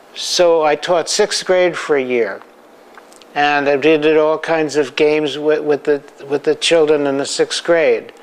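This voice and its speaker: Over noticeable background noise, a man speaks with fairly high pitch and fairly even intonation. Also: fairly slow pace, very even loudness. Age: 80s+. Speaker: photographer. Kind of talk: interview. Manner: halting, with frequent repeats.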